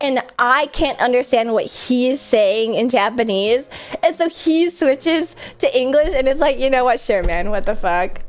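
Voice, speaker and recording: Her high pitch and lively, animated intonation stand out, with very even loudness. A woman speaks over noticeable background noise. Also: moderate pace. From US Midwest. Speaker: streamer. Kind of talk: casual chat.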